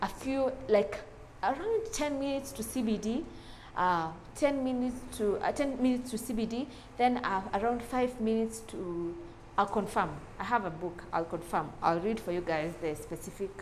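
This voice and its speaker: With light background noise behind her, a woman talks at a moderate pace using lively intonation. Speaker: house tour host. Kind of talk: casual house tour commentary. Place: home room. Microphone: lapel.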